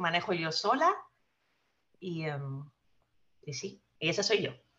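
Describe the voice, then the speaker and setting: Speaking very slowly in a Spanish accent, a woman has a bright, sharp tone. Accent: noticeable Spanish (Spain). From Spain. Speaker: guest sharing personal finance story. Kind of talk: casual interview.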